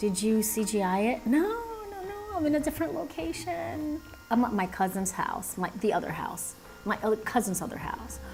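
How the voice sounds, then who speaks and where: With music in the background, a soft-spoken woman talks in a fairly high voice that swings very widely in pitch. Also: moderate pace. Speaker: animator live streamer. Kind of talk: casual live stream chat. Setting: live stream at a cousin's house.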